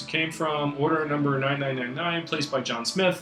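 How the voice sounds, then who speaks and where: A man talks at a fairly quick pace in a fairly high voice with ordinary pitch variation. Music plays in the background, and room echo is audible. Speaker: web design consultant. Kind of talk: tutorial. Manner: fast; casual.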